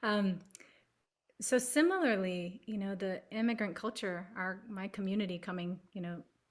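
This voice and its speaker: Here is an ordinary speaking voice with an American accent and ordinary pitch variation. The pace is moderate. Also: woman, medium pitch for a woman. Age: 40s. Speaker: palliative care advocate. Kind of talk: panel discussion.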